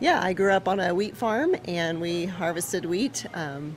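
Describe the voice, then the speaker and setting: Fairly low for a woman, her normal speaking voice moves at a fairly slow pace with ordinary pitch variation. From Nebraska. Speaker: bakery owner. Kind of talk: interview.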